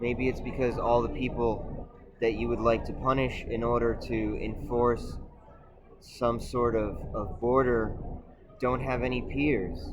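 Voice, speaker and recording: At a fairly slow pace, a man at medium pitch speaks with monotone, flat intonation amid audible room echo and noticeable background noise. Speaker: video essayist. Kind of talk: monologue.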